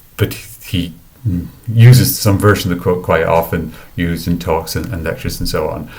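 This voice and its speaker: A man speaks with an Irish accent. Audible room echo surrounds his voice. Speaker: academic researcher. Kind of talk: lecture. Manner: halting, many fillers and repetitions.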